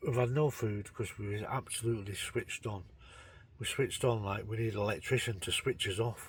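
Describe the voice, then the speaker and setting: On a very clean recording with a silent background, a somewhat breathy man talks fairly quickly at medium pitch with fairly even intonation. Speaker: fishing vlogger. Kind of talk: casual vlog narration. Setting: outdoors on a lakeside bank. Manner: quiet.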